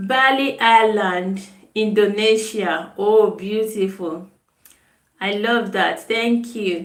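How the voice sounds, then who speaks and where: Very slow speech from a woman with a Nigerian accent, fairly high in pitch, with audible room echo. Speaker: nutritionist. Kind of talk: live stream chat. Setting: live video stream. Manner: casual, chatty.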